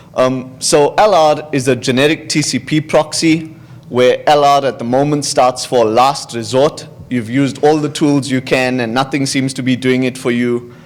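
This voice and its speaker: Amid noticeable background noise, a man speaks at a moderate pace and a medium pitch with fairly even intonation. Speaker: security researcher. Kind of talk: conference talk. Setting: stage with audience.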